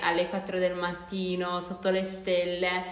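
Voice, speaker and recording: A woman speaks at a medium pitch, with noticeable background noise and audible room echo. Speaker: podcast co-host, university student. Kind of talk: casual chat.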